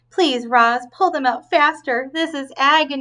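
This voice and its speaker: Here a woman uses a put-on character voice. Her pitch is high. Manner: pained, through gritted teeth.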